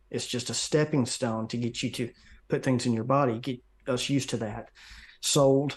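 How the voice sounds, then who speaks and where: Against a quiet background, a man speaks at a moderate pace. His pitch is medium, with ordinary variation. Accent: Southern US. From US South. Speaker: conspiracy researcher and video maker. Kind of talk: interview.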